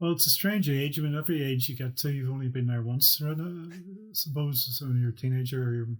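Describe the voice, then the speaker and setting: Somewhat breathy and fairly high-pitched, a man races along at a very fast pace with hardly any pauses and ordinary pitch variation. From Northern Ireland. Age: 60s. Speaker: property developer. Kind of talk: interview answer.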